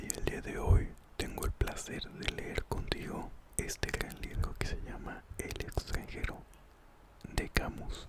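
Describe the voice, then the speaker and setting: Over noticeable background noise, a man whispers at a very slow pace. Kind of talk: ASMR book reading. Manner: whispered, soft-spoken.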